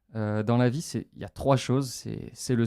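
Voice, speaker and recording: A man speaks at a medium pitch in a dark, mellow tone, with fairly even intonation. His pace is fairly slow, and the sound is dry and close with no echo. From France, Metz (Lorraine). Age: 20s. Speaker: adventurer. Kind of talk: radio interview. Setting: radio studio. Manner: hesitant, many fillers.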